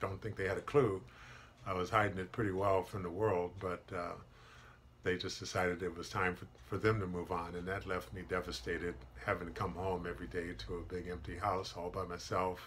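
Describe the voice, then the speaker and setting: Fairly even intonation with light background noise. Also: man, very deep, low pitch for a man. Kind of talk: personal testimony to camera. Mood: earnest, reflective about hardship. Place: office. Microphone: webcam.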